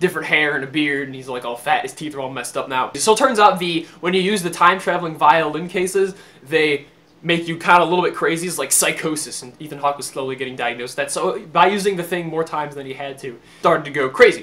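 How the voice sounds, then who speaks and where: Talking at a very fast pace over noticeable background noise, a man with a fairly high pitch shows ordinary pitch variation and big swings in loudness. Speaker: movie reviewer. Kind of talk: casual movie review. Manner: animated.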